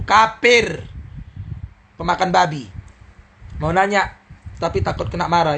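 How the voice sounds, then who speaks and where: With a Medan accent, a man with a high voice speaks at a moderate pace in a stern tone with lively intonation and long, frequent pauses, while noticeable background noise runs underneath. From Medan, Indonesia. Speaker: Islamic preacher. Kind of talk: live-stream Q&A answering viewer questions. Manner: stern, harsh, blunt.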